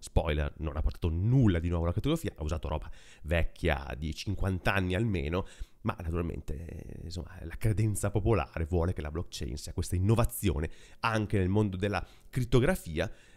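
A man speaks at a fairly quick pace with a very deep, low pitch. The background is quiet. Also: ordinary pitch variation. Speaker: tech podcaster; tech news host. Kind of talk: casual monologue. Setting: apartment. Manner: close to mic, low gain. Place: home room. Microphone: very close to mic, low gain; studio mic.

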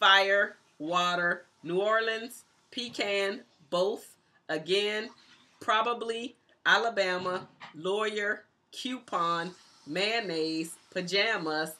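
Very slow speech with long, frequent pauses, a bright, sharp tone and ordinary pitch variation. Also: woman. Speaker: YouTuber. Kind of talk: casual talk to camera. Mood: cheerful, relaxed. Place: home room.

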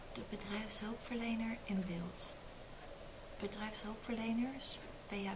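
Noticeable background noise sits behind a woman speaking with monotone, flat intonation. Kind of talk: reading aloud, soft tutorial chat. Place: home room. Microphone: phone near.

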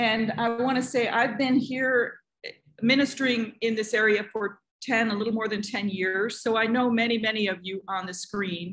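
A woman speaks at a moderate pace with fairly even intonation over a quiet background. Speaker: pastor hosting community gathering. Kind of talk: welcoming address. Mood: warm, calm. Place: home room. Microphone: video call.

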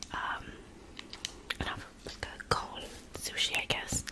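The voice is a woman's, and she whispers. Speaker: ASMR mukbang creator. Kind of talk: ASMR eating video talk. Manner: whispered. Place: home room. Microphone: studio mic.

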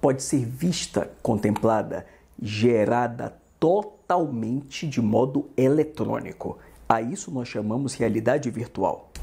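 A somewhat breathy man's voice, dark and mellow in tone, with lively intonation at a very slow pace. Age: 50s. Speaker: law teacher. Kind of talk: lecture. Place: home room. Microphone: lapel.

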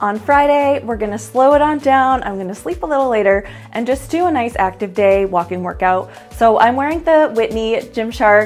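A woman speaks at a moderate pace. Faint music sits in the background. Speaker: fashion vlogger. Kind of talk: casual vlog chat. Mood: upbeat, friendly. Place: home room. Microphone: lapel.

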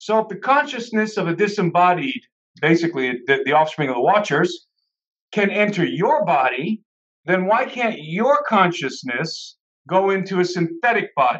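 Against a quiet background, a man speaks in a high pitch with very wide pitch swings. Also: moderate pace. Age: 30s. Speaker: conference speaker and author; conference speaker. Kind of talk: casual panel discussion. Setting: video call. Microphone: video call.

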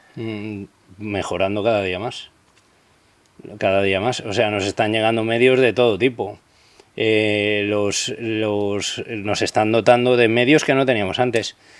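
This man's fairly low voice has a monotone, flat intonation. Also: fairly slow pace. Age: 40s. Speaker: police officer; interview guest. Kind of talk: interview. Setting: outdoors. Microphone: studio mic.

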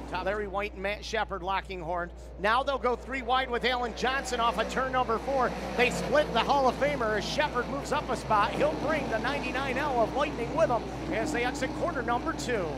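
The tone is excited and the pace fairly quick. There is noticeable background noise. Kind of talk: live race commentary. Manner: loud, excited, crowd-pleasing finish.

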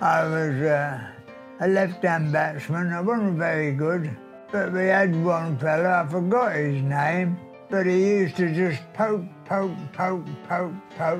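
A man's high-pitched voice at a very slow pace, with ordinary pitch variation and faint music in the background. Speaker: centenarian former pupil. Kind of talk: interview answer. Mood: amused, storytelling. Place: home room.

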